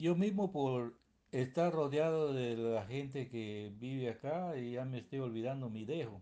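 Speaking at a fairly slow pace, a man with a dark, mellow tone keeps a medium pitch and ordinary pitch variation. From Peruvian Amazon, San Martín. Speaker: interviewee, Peruvian citizen. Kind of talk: interview. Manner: halting.

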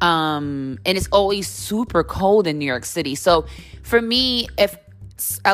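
Pitch swings very widely as a woman talks at a fairly slow pace, with music in the background. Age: 30s. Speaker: podcast host. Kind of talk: casual monologue.

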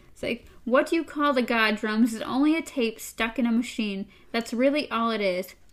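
A natural voice reading aloud, with pitch that rises and falls in the usual way

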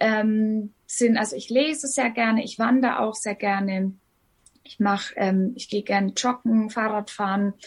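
A woman's fairly high, somewhat breathy voice at a fairly slow pace, with fairly even intonation and big swings in loudness. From Upper Franconia, Bavaria (Hof). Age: 30s. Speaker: singer and blogger with lupus. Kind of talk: interview.

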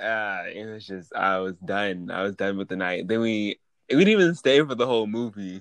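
A man with a normal speaking voice and fairly low pitch talks at a moderate pace, with ordinary pitch variation and big swings in loudness, over a quiet background. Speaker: podcast co-host. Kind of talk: casual chat.

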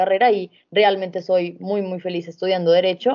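The woman's pitch is medium, and her intonation stays monotone and flat. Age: 20s. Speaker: law student. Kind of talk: casual chat.

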